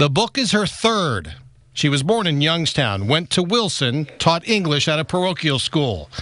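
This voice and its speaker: Very wide pitch swings and vocal fry in a bright, sharp tone at very even loudness. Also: man, fairly high pitch for a man. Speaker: local TV news reporter. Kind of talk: local TV news report.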